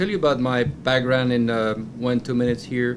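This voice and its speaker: A man speaks at medium pitch with a slight Belgian accent. Noticeable background noise runs behind him. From Belgium, Brussels. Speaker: company director. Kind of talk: panel interview. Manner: hesitant, many fillers.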